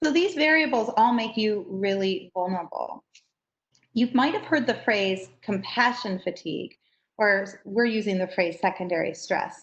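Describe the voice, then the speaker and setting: This woman's medium-pitched voice is somewhat breathy. She speaks at a moderate pace with lively intonation. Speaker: trainer for educators. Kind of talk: training workshop.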